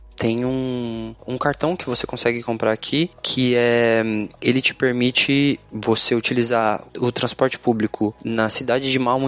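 Dry and close with no echo, a man with a normal speaking voice talks at a moderate pace and medium pitch. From Brazil, Mato Grosso do Sul (Campo Grande). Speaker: DevOps engineer. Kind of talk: casual interview chat.

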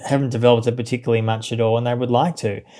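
A man's medium-pitched voice with an Australian accent and fairly even intonation. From Australia, Melbourne. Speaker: journalist and author. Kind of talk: interview.

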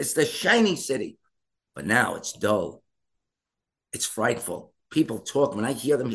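In an American accent, a man speaks at a fairly slow pace with vocal fry, very wide pitch swings, and long, frequent pauses. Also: medium pitch for a man. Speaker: mayoral candidate. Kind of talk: political interview.

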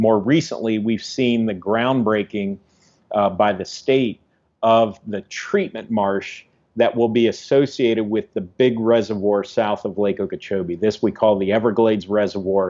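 With an American accent, this man has an unremarkable speaking voice, a fairly low pitch, fairly even intonation and a moderate pace. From Ohio, US Midwest. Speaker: ecologist. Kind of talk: interview.

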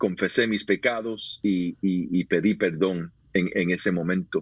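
A man at a very slow pace. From Puerto Rico. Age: 50s. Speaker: pastor and author. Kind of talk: interview, personal testimony.

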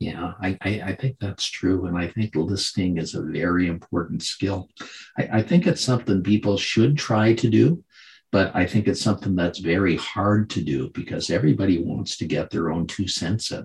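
A man speaks with a very deep, low pitch. His voice is somewhat breathy. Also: ordinary pitch variation, moderate pace. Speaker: podcast host. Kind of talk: interview.

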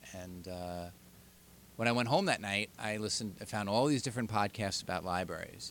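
In a Long Island accent, a man speaks at a moderate pace. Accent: Long Island, New York. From Long Island, New York. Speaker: podcast co-host, librarian.

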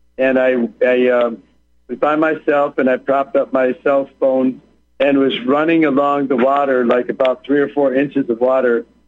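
With music in the background, a man speaks at medium pitch in a monotone, flat intonation at very even loudness. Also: moderate pace. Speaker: former prisoner. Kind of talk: interview. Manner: halting, with repetitions.

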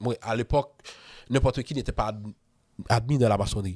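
The sound is dry and close with no echo as a man talks at a moderate pace with ordinary pitch variation. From Haiti. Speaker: freemason author and podcaster. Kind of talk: casual interview.

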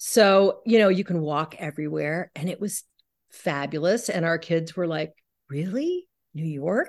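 This woman speaks with an American accent. Her pitch is fairly low, with ordinary variation. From US West Coast, San Francisco. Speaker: author and painter. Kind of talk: interview conversation.

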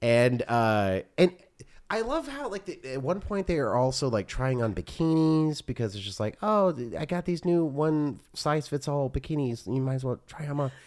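Lively in intonation, a man with a plain, everyday voice and a fairly high pitch talks at a moderate pace. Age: 40s. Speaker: podcast co-host. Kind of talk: casual chat.

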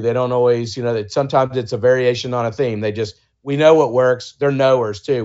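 At a moderate pace, a man with an American accent speaks in a monotone, flat intonation. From US South, Georgia. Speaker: author and brand agency founder. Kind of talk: interview.

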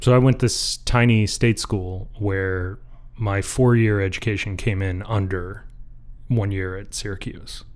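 A man with an American accent speaks in a plain, everyday voice, fairly low in pitch, at a fairly slow pace with fairly even intonation. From Michigan. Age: 30s. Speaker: blacksmith. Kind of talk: casual interview chat.

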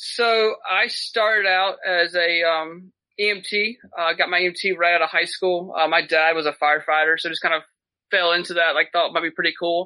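A Southern US accent with fairly even intonation. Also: man, high pitch for a man, moderate pace. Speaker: paramedic and medical gear business owner. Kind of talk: casual chat.

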